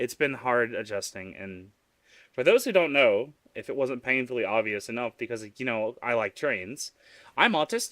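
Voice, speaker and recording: On a very clean recording with a silent background and a dry, close sound with no echo, a man with a Southern US accent talks at a moderate pace and medium pitch with ordinary pitch variation. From US South. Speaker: vtuber streamer. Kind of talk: live stream chat. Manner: animated.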